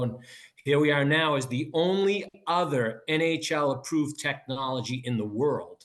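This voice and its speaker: This man has a Boston accent. His pitch is fairly high, with ordinary variation. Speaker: business co-founder and football coach. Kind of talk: interview.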